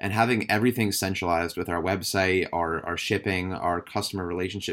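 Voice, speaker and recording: Very fast speech comes from a man with a very deep, low pitch and fairly even intonation. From Massachusetts, near Boston. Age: 20s. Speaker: fashion brand co-founder. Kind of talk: casual interview. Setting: video call.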